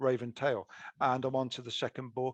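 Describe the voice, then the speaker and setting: A man speaks with a British accent. His pitch sits in the medium range. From UK. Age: 60s. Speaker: author. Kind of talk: interview. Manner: halting.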